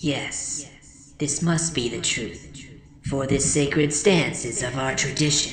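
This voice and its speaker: A put-on character voice at a low-to-middle pitch and fairly slow pace, with clear echo and clear background noise. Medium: read story. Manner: formal, solemn.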